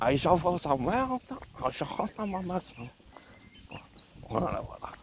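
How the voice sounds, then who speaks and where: A man's high voice at a fairly slow pace, with very wide pitch swings and big swings in loudness, over noticeable background noise. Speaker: vlogger. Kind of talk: casual vlog monologue.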